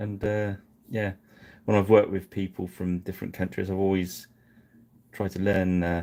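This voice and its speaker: With an English accent, a man speaks in a very deep, low voice with a dark, mellow tone, flat monotone intonation and a moderate pace, pausing long and often, on a very clean recording with a silent background. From England. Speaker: miniature painting streamer. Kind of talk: live painting stream chat. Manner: halting.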